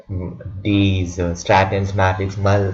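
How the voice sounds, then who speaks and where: A man speaks very slowly in a fairly low pitch with monotone, flat intonation. His voice is somewhat breathy, and there is audible room echo. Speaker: student making tutorial video. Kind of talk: tutorial. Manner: halting, with many repetitions.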